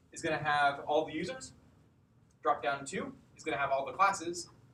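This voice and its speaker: This man's voice has a bright, sharp tone and a fairly high pitch with ordinary variation. Room echo is audible. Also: long, frequent pauses, big swings in loudness. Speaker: coding bootcamp instructor. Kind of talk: lecture. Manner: loud.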